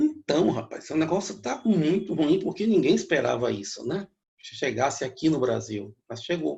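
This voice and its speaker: A man with a dark, mellow tone, fairly high pitch, and vocal fry speaks at a moderate pace with very wide pitch swings and big swings in loudness. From Bahia, Brazil (Feira de Santana district). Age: 60s. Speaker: economist and professor. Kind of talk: interview.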